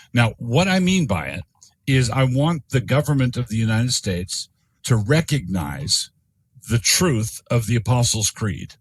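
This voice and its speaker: Speaking at a moderate pace with an American accent, this voice is somewhat breathy and swings very widely in pitch, recorded with a dry, close sound and no echo. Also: man, medium pitch for a man. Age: 60s. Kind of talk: podcast interview. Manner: halting with frequent repetitions.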